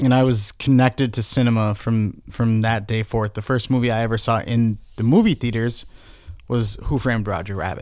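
On a very clean recording with a silent background, an ordinary speaking voice keeps fairly even intonation at a moderate pace. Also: man, medium pitch for a man. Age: 30s. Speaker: filmmaker. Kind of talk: casual chat.

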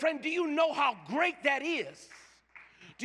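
A man's raised, projected voice at a moderate pace. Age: 50s. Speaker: pastor. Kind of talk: sermon. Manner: animated; stammering repetitions.

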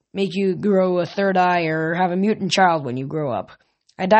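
Fairly even intonation in an unforced reading voice, with a quiet background

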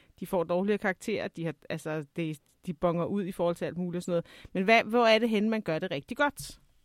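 A woman talks at a fairly quick pace in an unremarkable speaking voice, with ordinary pitch variation. The recording is very clean, with a silent background. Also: medium pitch for a woman, dry, close sound with no echo. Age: 40s. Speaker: podcast host and teacher. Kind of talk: interview.

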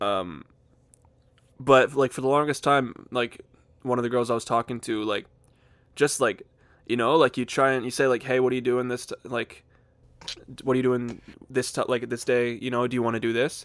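A man speaks at a moderate pace with fairly even intonation, taking long, frequent pauses. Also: medium pitch for a man. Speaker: podcast co-host. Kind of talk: casual banter podcast chat. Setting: joined remotely via Discord.

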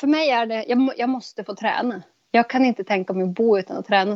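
A woman's fairly high voice at a very fast pace with ordinary pitch variation. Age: 30s. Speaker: podcast guest. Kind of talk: casual conversation.

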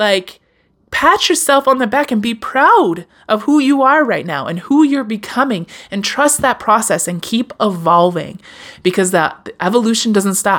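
A woman with a fairly high pitch speaks in an animated, warm tone, her pitch swinging very widely. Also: moderate pace. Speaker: podcast host. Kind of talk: solo motivational podcast monologue; warm pep talk cheering listeners on. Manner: animated, warm, affirming, direct address, encouraging; casual, conversational, slightly stumbling.

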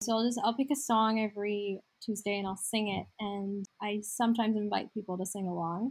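A woman talks at a fairly quick pace with hardly any pauses. Her medium-pitched voice is somewhat breathy. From Saudi Arabia. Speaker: fantasy author and screenwriter. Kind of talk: interview conversation.

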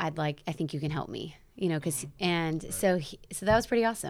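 A woman with a Midwestern American accent speaks in a very deep, low voice. Her intonation is lively. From South Bend, Indiana. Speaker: CrossFit gym owner and nutrition coach. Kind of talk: casual interview.

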